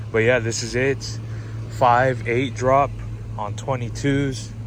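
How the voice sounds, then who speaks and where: A man speaks at a fairly low pitch with fairly even intonation. Audible room echo and noticeable background noise fill the recording. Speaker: car enthusiast vlogger. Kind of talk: casual vlog walkaround.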